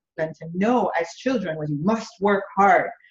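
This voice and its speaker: The speaker sounds somewhat breathy and talks in a Jamaican accent. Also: woman. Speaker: business coach. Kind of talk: interview. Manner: halting.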